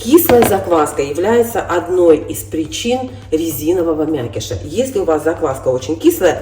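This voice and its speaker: A woman's fairly slow speech with music in the background. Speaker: cooking vlogger. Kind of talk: tutorial. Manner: casual.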